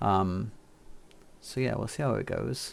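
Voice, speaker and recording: A soft-spoken man talks at a moderate pace. The recording is very clean, with a silent background. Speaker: game streamer. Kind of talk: live stream tutorial.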